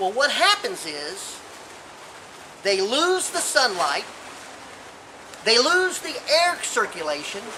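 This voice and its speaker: A man with an extremely high pitch uses a raised, projected voice and very wide pitch swings. He speaks very slowly with long, frequent pauses, amid audible room echo and noticeable background noise. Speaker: gardening expert. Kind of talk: tutorial. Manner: enthusiastic.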